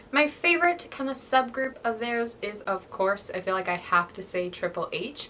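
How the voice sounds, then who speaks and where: Over noticeable background noise, a woman with a fairly high pitch speaks at a moderate pace with hardly any pauses. Her tone is animated, and her pitch swings very widely. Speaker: YouTuber. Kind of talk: casual vlog talk.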